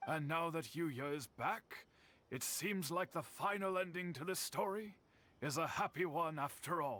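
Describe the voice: Doing a put-on character voice, a man talks at a fairly slow pace in a fairly high pitch, his tone bright and sharp and his intonation lively.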